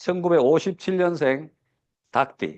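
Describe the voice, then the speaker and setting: The man's voice is high-pitched. He speaks at a very slow pace. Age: 60s. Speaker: business seminar speaker. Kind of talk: lecture. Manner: many fillers and hesitations.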